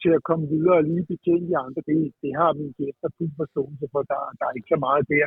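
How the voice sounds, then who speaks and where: The speaker moves at a moderate pace with monotone, flat intonation. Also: man. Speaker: pub owner. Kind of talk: casual chat.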